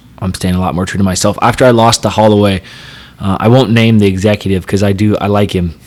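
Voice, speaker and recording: A man's fairly low, monotone, flat voice at a very fast pace, with noticeable background noise. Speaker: professional fighter. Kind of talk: casual chat. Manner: loud.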